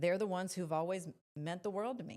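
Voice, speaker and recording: A woman talks at a fairly quick pace, keeping her intonation fairly even. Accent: Spanish. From Mexico, then many places. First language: Spanish. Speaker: politician. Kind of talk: interview.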